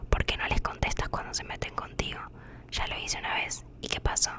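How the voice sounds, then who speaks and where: A woman whispers over noticeable background noise. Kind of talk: sleep story reading. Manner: whispered.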